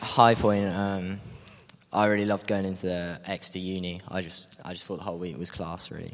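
Speaking with a southern English accent, a man uses a very deep, low voice with monotone, flat intonation at a fairly quick pace, noticeable background noise behind him. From Cambridge, England. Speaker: gap year volunteer. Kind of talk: interview. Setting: church.

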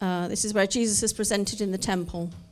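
A woman talks at a moderate pace in a medium pitch with flat, monotone intonation. Music plays in the background. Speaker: scripture reader. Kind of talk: reading aloud. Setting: church.

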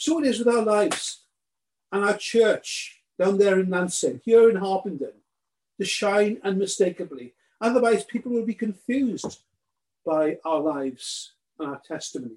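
This man's voice is high-pitched, with lively intonation. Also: moderate pace. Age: 60s. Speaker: preacher. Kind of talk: sermon. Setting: recorded sermon for a remote congregation.

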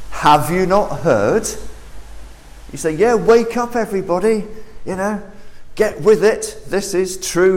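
A man with a southern English accent, at a very slow pace, amid noticeable background noise and audible room echo. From southern England. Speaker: preacher. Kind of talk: sermon. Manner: animated.

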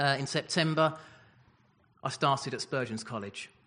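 A man with a southern English accent speaks in a bright, sharp tone. The background is quiet. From Essex, England. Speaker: newly ordained minister. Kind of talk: personal testimony. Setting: church service.

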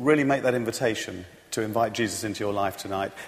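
Noticeable background noise sits behind this recording. A man with a British accent speaks with lively intonation. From Britain. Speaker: church leader. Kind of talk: testimony. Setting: church. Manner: halting.

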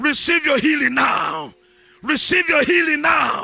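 A man shouting at a fairly slow pace, over noticeable background noise. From Nigeria. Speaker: bishop preacher. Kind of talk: sermon. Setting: church.

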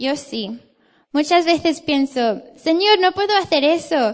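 This woman talks at a fairly slow pace with a high pitch. She has an English accent. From England. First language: English (speaking Spanish). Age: 20s. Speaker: theology student, guest preacher. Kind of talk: sermon. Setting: church.

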